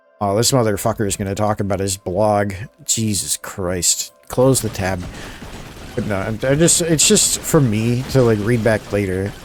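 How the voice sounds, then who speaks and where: Over noticeable background noise, a man with a fairly low voice talks at a moderate pace with ordinary pitch variation. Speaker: streamer.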